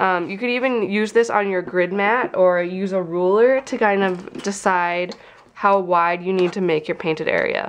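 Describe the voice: A woman speaks at a fairly low pitch with a nasal sound and ordinary pitch variation. Her pace is fairly slow, with few pauses.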